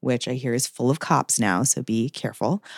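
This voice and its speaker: A woman speaks in an animated tone at a fairly quick pace. The recording is very clean, with a silent background. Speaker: sex worker activist and writer. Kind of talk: casual interview. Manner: animated, casual.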